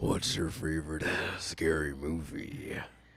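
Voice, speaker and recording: A man puts on a raspy, menacing character voice at a very deep, low pitch with ordinary pitch variation. He speaks at a fairly slow pace over light background noise. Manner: scary, menacing.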